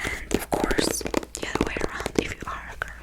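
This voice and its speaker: A woman whispers at a fairly slow pace. Noticeable background noise is audible. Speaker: ASMR creator. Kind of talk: ASMR whispered ramble to camera. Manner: whispered, soft-spoken.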